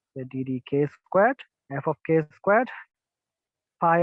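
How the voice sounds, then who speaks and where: Speaking with a Bengali accent, a man's voice sits at a fairly high pitch. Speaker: physics lecturer. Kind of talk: lecture. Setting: video call, outdoors. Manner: fast.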